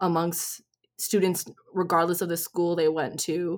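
A woman with a Canadian accent speaks at a moderate pace in an ordinary speaking voice at medium pitch, in a very clean recording with a silent background. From Ontario, Canada. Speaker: nonprofit founder and diversity consultant. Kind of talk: interview.

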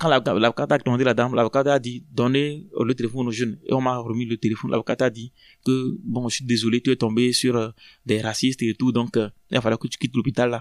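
The recording is very clean, with a silent background and a dry, close sound free of echo. A man talks at a very fast pace. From Togo, Lomé. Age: 30s. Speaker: asylum seeker. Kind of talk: testimony. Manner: halting.

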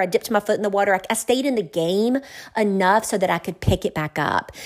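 Her lively intonation and medium pitch carry this woman's speech along at a fairly quick pace. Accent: Southern US. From US South, small-town south Georgia. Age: 50s. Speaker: attorney and wealth management professional. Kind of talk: casual interview.

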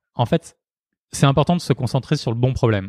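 The sound is dry and close, with no echo, against a quiet background. A man speaks at a medium pitch. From Marseille, southern France. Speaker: startup founder. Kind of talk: interview conversation. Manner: hesitant, many fillers and repetitions.

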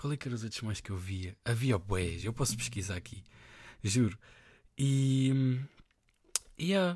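A man at medium pitch, somewhat breathy, with lively intonation and long, frequent pauses, on a very clean recording with a silent background. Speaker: podcaster. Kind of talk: casual monologue. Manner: halting.

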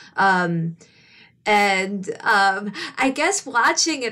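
Here a woman talks with a Midwestern US accent. Her pitch is medium and varies in an ordinary way. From Detroit area, Michigan. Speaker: author and screenwriter. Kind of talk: casual interview chat.

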